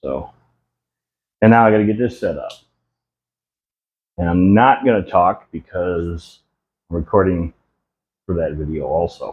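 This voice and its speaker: The speaker shows ordinary pitch variation and leaves long, frequent pauses. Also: man, very deep, low pitch for a man, moderate pace. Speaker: homestead content creator. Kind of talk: behind-the-scenes tutorial vlog. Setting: workshop with lavalier mic, camera at distance. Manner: casual, hesitant with fillers.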